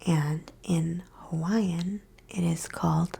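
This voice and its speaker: Soft-spoken words arrive at a very slow pace. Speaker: reiki practitioner. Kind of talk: ASMR explanation.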